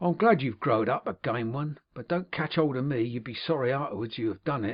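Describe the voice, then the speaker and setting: A man puts on a raspy character voice at medium pitch. He speaks at a fairly quick pace. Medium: read story. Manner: deliberate, affectionate.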